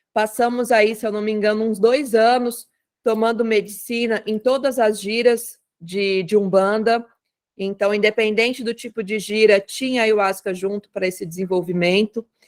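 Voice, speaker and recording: Speaking at a moderate pace, a woman uses an ordinary speaking voice with fairly high pitch and fairly even intonation. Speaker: umbanda spiritual leader. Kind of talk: online talk circle presentation.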